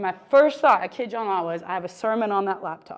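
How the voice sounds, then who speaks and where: The intonation is lively. It is a normal speaking voice. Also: woman. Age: 30s. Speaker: pastor. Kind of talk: sermon. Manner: conversational.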